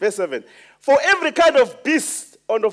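Against a quiet background, a man is talking. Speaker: preacher. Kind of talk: sermon. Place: church.

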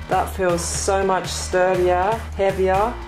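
Clear music plays behind a woman who speaks at a very slow pace. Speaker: unboxing vlogger. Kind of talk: casual vlog chat. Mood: excited, pleased. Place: home room.

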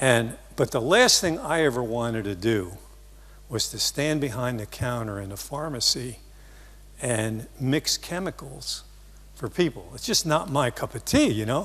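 A man with an American accent, vocal fry and lively intonation. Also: moderate pace. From US, New Jersey. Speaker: marketing seminar speaker; speaker. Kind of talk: seminar talk. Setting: stage with audience. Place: stage. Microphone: lapel.

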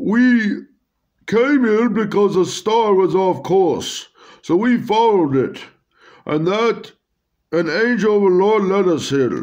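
Putting on a character voice with a non-native accent, a man speaks at a high pitch and a fairly slow pace, with very even loudness and long, frequent pauses. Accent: foreign. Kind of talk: reading comic dialogue aloud. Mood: comical storytelling.

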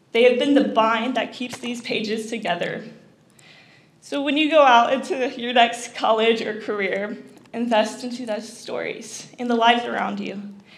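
A woman with a fairly high pitch and fairly even intonation talks at a moderate pace, her loudness swinging widely amid audible room echo. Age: young. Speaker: college student; speaker. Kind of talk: prepared speech. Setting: stage with audience. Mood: personal, emotional testimony. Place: hall. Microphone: podium.

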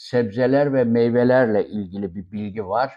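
Fairly even intonation in the medium-pitched voice of a man. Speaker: YouTuber giving health and living-abroad advice. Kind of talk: monologue to camera. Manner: hesitant with many fillers.

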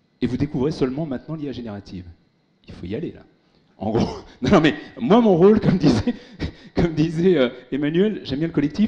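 A man speaks at a fairly high pitch in a dark, mellow, somewhat breathy tone. His delivery has very wide pitch swings, big swings in loudness and long, frequent pauses. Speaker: tech speaker, former big-tech employee; speaker. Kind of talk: conference keynote. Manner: fast. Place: hall. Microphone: handheld.

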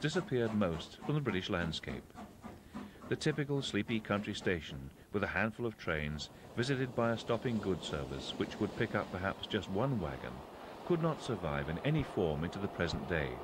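A man's fairly low-pitched voice with vocal fry, a fairly quick pace and very wide pitch swings. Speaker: documentary narrator. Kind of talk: vintage railway documentary narration.

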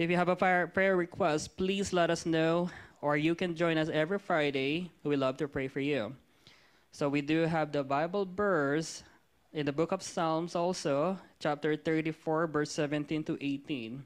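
Fairly slow, fairly even-toned delivery from a man. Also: very even loudness. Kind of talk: scripture reading and opening prayer. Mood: earnest, reverent. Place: church. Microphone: handheld.

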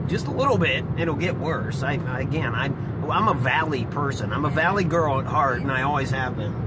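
Over loud background noise, a man speaks at a fairly quick pace with hardly any pauses, the sound dry with no echo. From central Ohio. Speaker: gaming YouTuber. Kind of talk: casual vlog commentary. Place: car.

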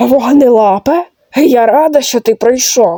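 Fairly slow delivery in a fairly high, put-on character voice. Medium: machinima. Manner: gruff, dry.

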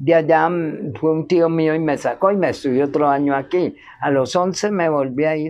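Her pitch is very deep and low, and this woman talks at a moderate pace with fairly even intonation. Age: 70s. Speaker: interviewee sharing life story; interviewee. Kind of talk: testimony. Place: garden.

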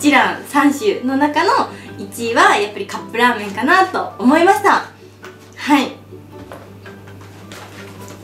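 Faint music plays in the background, and audible room echo is present. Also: woman. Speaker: food vlogger. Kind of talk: casual vlog chat, food review. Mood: relaxed, friendly. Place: home room. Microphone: camera far.

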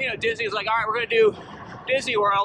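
Against noticeable background noise, a raised, projected voice comes through with a dry sound and no echo. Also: man. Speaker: cyclist vlogger. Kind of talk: casual vlog chat. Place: bicycle. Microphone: phone near.

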